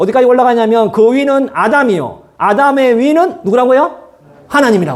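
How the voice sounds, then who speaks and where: With a strong Gyeongsang accent, a man talks fairly quickly in an extremely high pitch with lively intonation, and room echo is audible. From Gyeongsang region, Korea. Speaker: pastor. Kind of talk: sermon. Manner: fast.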